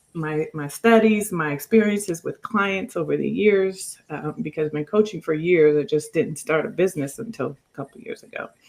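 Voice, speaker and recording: With an unremarkable speaking voice, a woman talks at a fairly low pitch and a moderate pace, using ordinary pitch variation, big swings in loudness and hardly any pauses. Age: 50s. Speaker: life coach and author. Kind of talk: podcast interview.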